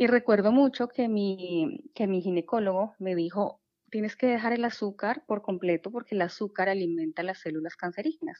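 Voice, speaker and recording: With a plain, everyday voice, a woman speaks at a medium pitch and a moderate pace, her intonation lively and hardly any pauses. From Colombia. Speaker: habit change coach. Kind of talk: casual interview.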